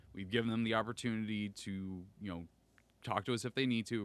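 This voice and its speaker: In a very clean recording with a silent background, a man speaks in an animated tone. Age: 30s. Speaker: podcaster and content creator. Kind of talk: casual interview chat.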